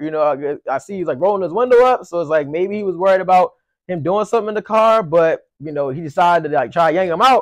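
A man's high-pitched, very fast speech with ordinary pitch variation against a quiet background. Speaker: commentary host. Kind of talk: casual commentary discussion. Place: home room.

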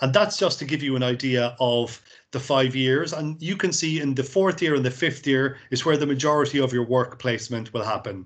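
A man with a Cork accent speaks at a fairly quick pace with hardly any pauses, his medium pitch showing ordinary variation against a quiet background. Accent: Cork Irish. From Ireland, Cork; Ireland. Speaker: university recruitment representative; presenter. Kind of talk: presentation. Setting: video call. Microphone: video call.

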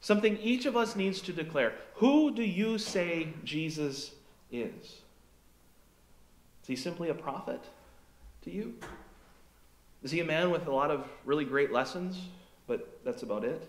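A man at a high pitch with very wide pitch swings, a fairly slow pace, long, frequent pauses and audible room echo. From Fargo, North Dakota, USA. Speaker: pastor. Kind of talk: sermon to a congregation. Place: church.

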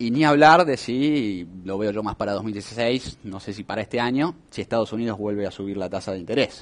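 A man talks in a fairly low pitch with lively intonation. His pace is moderate. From Argentina. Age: young. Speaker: economist; guest. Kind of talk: interview. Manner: hesitant with fillers. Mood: relaxed, explanatory. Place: studio. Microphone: headset.

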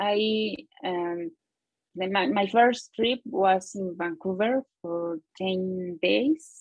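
A woman with lively intonation and long, frequent pauses against a quiet background. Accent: Spanish. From Mexico City area. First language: Spanish. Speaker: English learner, project manager. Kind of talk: interview. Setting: video call from her office. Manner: halting. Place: home room. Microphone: earbuds.

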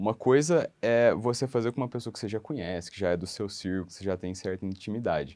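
The pace is fairly quick and the intonation lively. The background is quiet. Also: man. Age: 30s. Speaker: law graduate preparing for public exams; interviewee. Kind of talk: testimonial interview. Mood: friendly, smiling. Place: office. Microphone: lapel.

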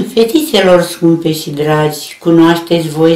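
A woman at a fairly low pitch and a very slow pace, with audible room echo. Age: 80s+. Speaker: elderly reciter of her mother's poem. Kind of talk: poetry reading. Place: home room. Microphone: camera far.

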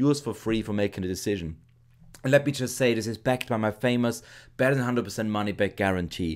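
Recorded very cleanly against a silent background, a man with a German accent speaks fairly quickly at a medium pitch with ordinary pitch variation. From Austria. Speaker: internet marketer. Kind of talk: sales pitch.

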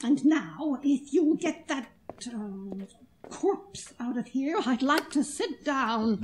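A woman speaks at a very slow pace with long, frequent pauses. Her pitch is high and her intonation lively. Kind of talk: 1940s radio drama. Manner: brisk, tart, unflappable.

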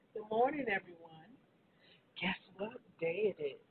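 Raspy speech with a husky, rough edge and lively intonation. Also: woman, medium pitch for a woman, moderate pace.

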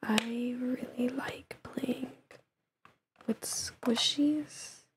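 Soft-spoken and very slow, the voice keeps a monotone, flat intonation. Noticeable background noise runs underneath. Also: woman, high pitch for a woman. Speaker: ASMR creator. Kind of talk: ASMR get-to-know-me talk to camera. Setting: low-quality microphone. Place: home room.

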